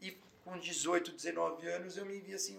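A man's voice carries audible room echo. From São Paulo city, North Zone. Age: 30s. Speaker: physician. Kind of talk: casual interview.

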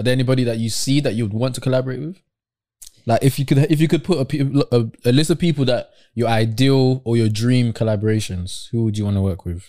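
Very fast and in a British accent, a man speaks with a dark, mellow tone. His pitch is medium, with ordinary variation. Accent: British urban. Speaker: podcast host. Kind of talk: casual chat.

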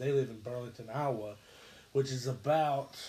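The man's voice sits at a medium pitch. Its tone is dark and mellow, and somewhat breathy. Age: 30s. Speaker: gaming podcast host. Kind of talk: casual chat.

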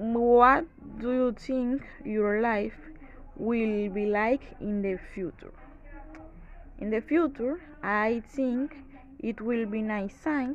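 Very slow speech in a Spanish accent, with ordinary pitch variation and long, frequent pauses. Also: woman, fairly high pitch for a woman. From Dominican Republic, San Pedro de Macorís. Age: 20s. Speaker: student. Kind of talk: reading aloud. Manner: halting.

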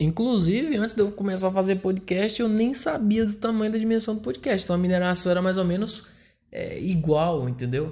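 With lively intonation, this man talks fairly quickly in a high voice. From Brazil, northern Goiás (Porangatu). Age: 20s. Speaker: podcast host. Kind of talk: casual monologue. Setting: at home.

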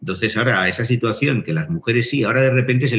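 Against noticeable background noise, a man with a Castilian accent speaks fairly quickly at a medium pitch. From Spain. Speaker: philosophy teacher and writer. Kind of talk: interview. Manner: halting.

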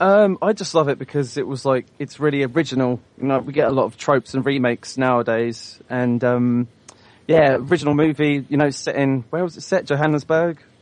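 With a slight British accent, a man talks at a fairly quick pace in a fairly high pitch with ordinary pitch variation. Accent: British, mild. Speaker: listener caller.

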